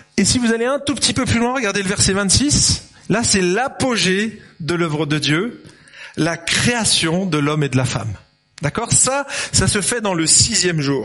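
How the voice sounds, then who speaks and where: Over noticeable background noise, a man speaks at a high pitch with very wide pitch swings and very even loudness. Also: fairly slow pace. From France, Lyon. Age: 50s. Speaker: pastor. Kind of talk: sermon. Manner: animated.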